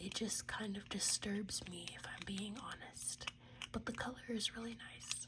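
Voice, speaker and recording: The speech moves at a fairly slow pace with noticeable background noise. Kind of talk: casual unboxing talk to camera.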